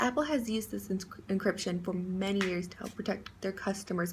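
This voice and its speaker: Vocal fry runs through a woman's medium-pitched voice. She talks at a fairly quick pace with fairly even intonation. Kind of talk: class speech read aloud.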